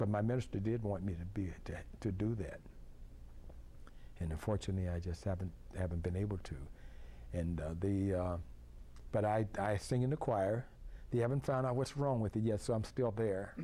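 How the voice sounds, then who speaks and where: At a fairly quick pace but with long, frequent pauses, a man speaks at a fairly low pitch in a dark, mellow, somewhat breathy tone. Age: 70s. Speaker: club waiter doing tableside service. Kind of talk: interview. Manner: halting, many restarts and fillers.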